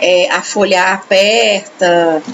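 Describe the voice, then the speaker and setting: A woman speaks at a medium pitch with ordinary pitch variation. Noticeable background noise runs under her voice. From Brazil, São Paulo/Minas/Goiás mix. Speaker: book club host. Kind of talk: reading aloud with commentary.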